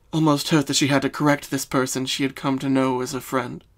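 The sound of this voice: An unforced reading voice carries the text.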